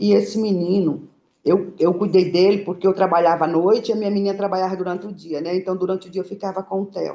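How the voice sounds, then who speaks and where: A woman's voice at medium pitch with fairly even intonation. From Bahia, Brazil. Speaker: small food business owner. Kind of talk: interview. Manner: halting.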